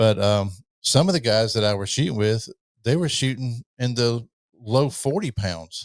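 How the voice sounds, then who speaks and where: A man with an unremarkable speaking voice and a medium pitch talks at a moderate pace with lively intonation. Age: 60s. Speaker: podcast host. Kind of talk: interview. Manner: casual, conversational.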